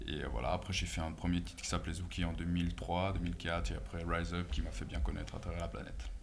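Lively intonation at a moderate pace, with light background noise. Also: man. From Switzerland. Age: 30s. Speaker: DJ and house music producer; DJ. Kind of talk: casual interview. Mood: relaxed, smiling.

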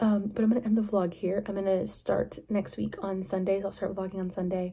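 Somewhat breathy and dark, mellow in tone, a woman's voice moves at a fairly quick pace with monotone, flat intonation. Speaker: vlogger. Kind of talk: casual vlog chat. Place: home room. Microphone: phone near.

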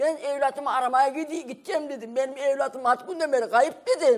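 Against a quiet background, a woman speaks at a fairly quick pace, her pitch high with ordinary variation. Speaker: mother of missing man; TV guest. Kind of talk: heated debate. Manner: emotional. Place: studio.

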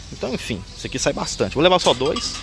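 A man talking at a very fast pace, the sound dry with no echo, amid noticeable background noise. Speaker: drinks shop owner vlogger. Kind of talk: casual vlog while shopping. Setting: wholesale store. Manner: speaking quietly. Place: shop. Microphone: phone near.

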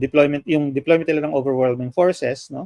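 Here a man speaks at a fairly high pitch with fairly even intonation. The sound is dry, with no echo. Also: quiet background. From Philippines. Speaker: political analyst. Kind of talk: interview. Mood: calm, measured explanation. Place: home room. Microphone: video call.

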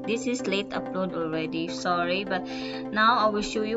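Someone with a Filipino accent speaks at a moderate pace over clear music in the background. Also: woman. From Philippines. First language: Bisaya. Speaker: travel vlogger. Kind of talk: travel vlog talk to camera. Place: train. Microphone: phone near.

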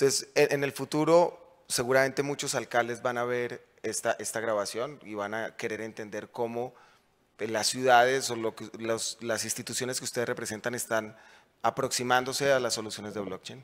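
A man with a Bogotá accent and fairly even intonation. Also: moderate pace. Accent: Bogotá Colombian Spanish. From Colombia, Bogotá. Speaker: panel moderator. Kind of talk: panel moderation. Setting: conference stage with audience. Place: stage. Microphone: handheld.

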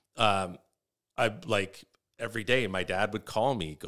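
The setting is quiet. A man's voice is heard. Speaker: comedian. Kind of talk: casual chat. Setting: studio. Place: studio. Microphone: studio mic.

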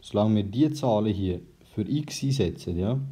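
Speaking with a Swiss accent, a man uses a dark, mellow tone and ordinary pitch variation. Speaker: math tutor. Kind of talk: math tutorial explanation.

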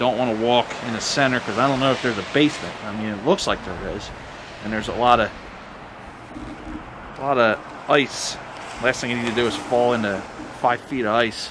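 A man talks at a fairly quick pace with fairly even intonation. Noticeable background noise runs behind him. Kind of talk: casual vlog commentary. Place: open country. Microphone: phone near.

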